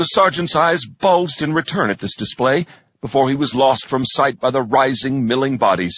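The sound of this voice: This is an unforced reading voice with ordinary pitch variation.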